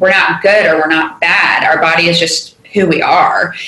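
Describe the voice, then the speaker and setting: A woman with an American accent, fairly low-pitched, at a moderate pace, with audible room echo and noticeable background noise. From Charleston, South Carolina. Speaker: podcast host, dietitian. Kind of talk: interview conversation.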